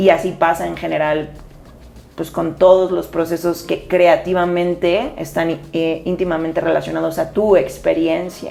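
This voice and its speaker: A woman talks at a fairly slow pace with music in the background. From Spain. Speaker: podcast co-host, dancer. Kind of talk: casual chat.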